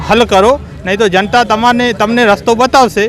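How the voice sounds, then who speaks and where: Music plays in the background as a man speaks. His high pitch stays monotone and flat. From Abdasa, Kutch, Gujarat. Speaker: local supporter of protest. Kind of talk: interview.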